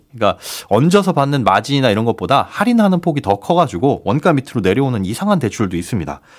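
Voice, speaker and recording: A man talks at a very fast pace at a medium pitch. His pitch swings very widely. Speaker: financial research institute head. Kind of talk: radio economics news talk.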